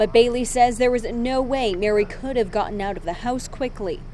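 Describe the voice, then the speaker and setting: Noticeable background noise sits behind a woman's high-pitched voice. Her pitch varies in an ordinary way. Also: moderate pace. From Massachusetts. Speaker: TV news reporter. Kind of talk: TV news package voice-over.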